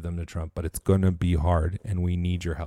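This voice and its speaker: A man speaks with an American accent and a dark, mellow tone. The recording is very clean, with a silent background. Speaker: podcast host. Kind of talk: rally speech, fiery political pep talk. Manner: impassioned, urgent, rallying; preacherly, exhortative.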